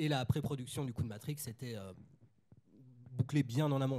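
A man speaks at a very fast pace in a medium pitch, his tone dark and mellow. His voice is somewhat breathy, with fairly even intonation. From Nantes, western France. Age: 30s. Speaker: film critic and author. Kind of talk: panel discussion.

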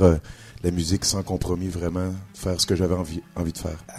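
A man speaks with very deep, low pitch. His pace is fairly quick. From Quebec, Trois-Rivières. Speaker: blues musician. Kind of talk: interview. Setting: club stage with live audience.

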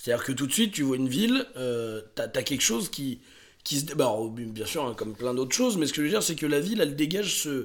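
A man talks very fast at a fairly high pitch with lively intonation. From France, Drôme (Montélimar). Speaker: podcast co-host. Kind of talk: casual chat.

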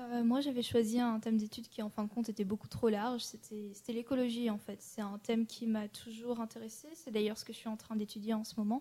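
Somewhat breathy and dark, mellow in tone, a woman with fairly high pitch speaks at a fairly quick pace with hardly any pauses and monotone, flat intonation. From French Alps (Annecy). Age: 20s. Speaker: political science student and traveler. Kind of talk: interview. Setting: studio.

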